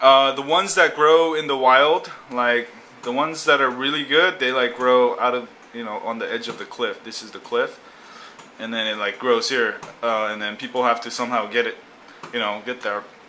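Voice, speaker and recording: Speech moves at a moderate pace with ordinary pitch variation. Loudness swings widely over noticeable background noise. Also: man, medium pitch for a man. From Korea. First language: Korean. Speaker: blogger. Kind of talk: casual explanatory monologue. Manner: halting, many fillers.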